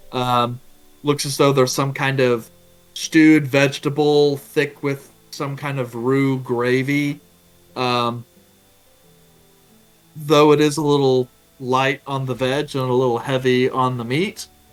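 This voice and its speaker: A man's monotone, flat delivery with long, frequent pauses and music in the background. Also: medium pitch for a man, fairly slow pace. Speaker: game master narrating a tabletop role-playing game. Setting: online voice call.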